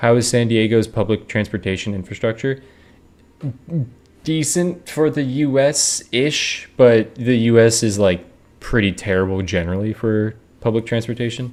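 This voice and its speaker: At a medium pitch and moderate pace, this man has an ordinary speaking voice with ordinary pitch variation. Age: 20s. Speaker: video game streamer. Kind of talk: casual live stream chat.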